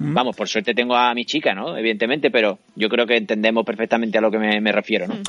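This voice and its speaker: This man talks very fast, with hardly any pauses. His pitch is medium, with ordinary variation. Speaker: singer-songwriter and radio scriptwriter. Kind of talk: casual interview. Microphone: laptop camera setup, good sound.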